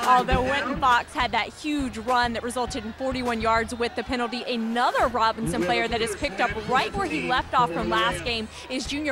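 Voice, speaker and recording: There is noticeable background noise behind a woman's high-pitched voice with ordinary pitch variation. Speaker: sports broadcaster. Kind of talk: sideline sports report.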